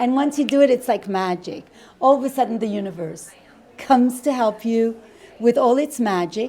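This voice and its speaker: The speech moves at a moderate pace with ordinary pitch variation, and noticeable background noise sits behind it. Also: woman, fairly high pitch for a woman. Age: 60s. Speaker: wedding dress designer. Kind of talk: casual interview. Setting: bridal boutique.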